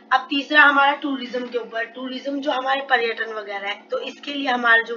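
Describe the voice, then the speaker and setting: A woman's high voice with fairly even intonation, over music in the background. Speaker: exam prep tutor. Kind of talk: educational lecture, Hindi-English mix.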